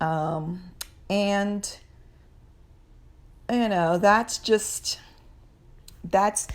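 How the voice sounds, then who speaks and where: Her pitch varies in an ordinary way as the woman talks. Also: very clean recording, silent background. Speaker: spiritual talk vlogger. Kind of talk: casual spiritual monologue. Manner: halting, many fillers and repeats; unscripted, searching for words.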